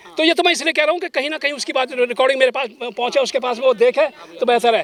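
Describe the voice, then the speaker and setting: Extremely high-pitched, a man's voice comes through dry and close with no echo, over noticeable background noise. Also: ordinary pitch variation. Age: 70s. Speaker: elderly Buddhist convert telling about his family. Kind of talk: street interview. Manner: halting; emotional.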